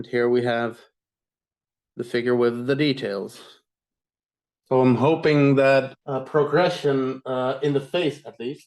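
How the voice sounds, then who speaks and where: The speaker moves at a fairly slow pace with fairly even intonation and long, frequent pauses. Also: man, medium pitch for a man. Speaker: blacksmith giving a presentation. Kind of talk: online presentation, demonstration. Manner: hesitant, many fillers and repeats.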